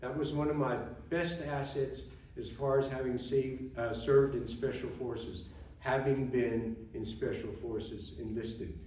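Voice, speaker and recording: With audible room echo, a man talks at a moderate pace and medium pitch. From Germany, moved to US at 12. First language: German. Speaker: retired army officer, veteran. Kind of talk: after-dinner speech. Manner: casual, conversational.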